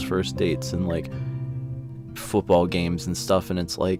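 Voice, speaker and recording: Music plays behind a soft-spoken man whose very deep, low pitch carries lively intonation at a moderate pace. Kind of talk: personal audio journal about grief, soft-spoken. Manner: soft-spoken, quiet, somber.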